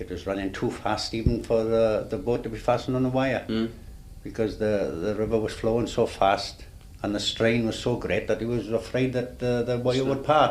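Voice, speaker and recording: This man's pitch is medium, and his intonation is fairly even. He keeps to a moderate pace. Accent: South Wales. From Swansea, Wales. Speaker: retired ferryman. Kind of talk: oral history interview answer.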